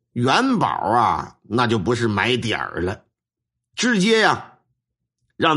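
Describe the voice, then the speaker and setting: A man with a Northeastern Chinese accent speaks at a medium pitch and a fairly slow pace. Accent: Northeastern Mandarin. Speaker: storyteller, folk shaman. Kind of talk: storytelling narration. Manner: animated.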